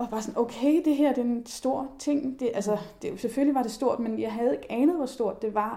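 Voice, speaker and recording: Amid noticeable background noise, a woman speaks at a very fast pace with ordinary pitch variation. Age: 30s. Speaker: journalist and body activist. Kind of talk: casual chat.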